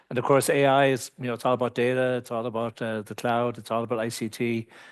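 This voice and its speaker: A man talks at a very fast pace with a slight Irish accent. His intonation stays monotone and flat. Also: medium pitch for a man, quiet background. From Ireland. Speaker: AI security advisor. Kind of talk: webinar panel introduction. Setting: live webinar from transparency centre.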